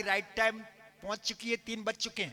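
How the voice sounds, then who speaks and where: A man with a high-pitched voice speaks in a raised, projected way. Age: 70s. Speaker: religious storyteller (katha narrator). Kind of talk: religious discourse to live audience.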